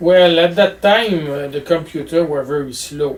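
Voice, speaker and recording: A man with a strong French Canadian accent speaks with ordinary pitch variation against noticeable background noise. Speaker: physics professor. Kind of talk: interview answer. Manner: hesitant, many fillers.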